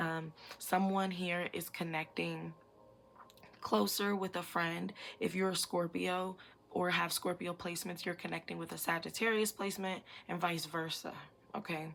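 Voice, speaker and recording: Intonation stays fairly even at a moderate pace, broken by long, frequent pauses. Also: woman, fairly low pitch for a woman. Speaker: psychic tarot reader. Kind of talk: pick-a-card tarot reading. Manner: casual, many fillers.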